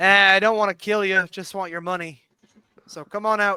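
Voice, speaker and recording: A man puts on a gruff character voice with a high pitch. His intonation is monotone and flat, at a moderate pace. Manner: threatening, brusque.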